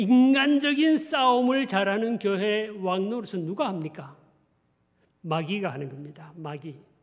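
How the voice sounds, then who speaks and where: In a strong Gyeongsang accent, the speaker goes at a fairly slow pace with very wide pitch swings and big swings in loudness. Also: man, high pitch for a man. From Gyeongsang region, South Korea. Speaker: pastor. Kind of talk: sermon.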